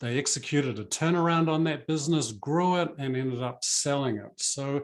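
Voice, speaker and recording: With a New Zealand accent, a man speaks at a moderate pace in a fairly high pitch, with ordinary pitch variation against a quiet background. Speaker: business coach. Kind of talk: webinar presentation.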